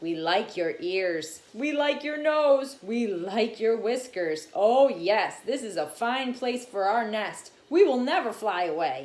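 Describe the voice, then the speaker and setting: A female-sounding, put-on character voice pitched fairly high for a woman unfolds at a fairly slow pace. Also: hardly any pauses. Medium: read story.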